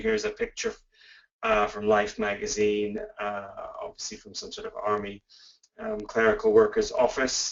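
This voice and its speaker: This man has a Canadian accent. His pace is moderate. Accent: Canadian, noticeable to UK listeners. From Canada. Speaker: professor. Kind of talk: webinar lecture. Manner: hesitant, many fillers.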